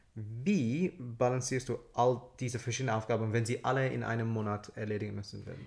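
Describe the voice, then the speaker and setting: With an English accent, a man talks at a fairly quick pace and a medium pitch. His voice is somewhat breathy, and his intonation stays fairly even. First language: English (speaking German). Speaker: podcast co-host. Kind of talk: casual chat. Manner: halting.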